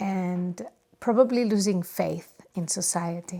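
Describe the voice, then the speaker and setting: A woman speaks at a very slow pace with a Catalan accent. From Spain, Barcelona area. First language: Spanish. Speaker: podcast host, yoga teacher. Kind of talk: casual monologue. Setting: home studio. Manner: halting, many fillers.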